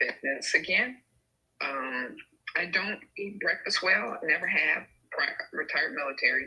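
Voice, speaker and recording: Pausing long and often, a woman speaks at a moderate pace. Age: 60s. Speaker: caller. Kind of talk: casual chat.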